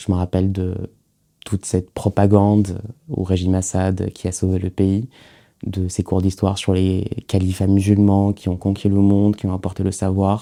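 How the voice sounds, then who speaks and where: A man with a very deep, low pitch and a dark, mellow tone speaks at a moderate pace in monotone, flat intonation, in a very clean recording with a silent background. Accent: Arabic. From northern Syria. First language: Arabic (speaking French). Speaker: exile telling his story. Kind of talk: testimony.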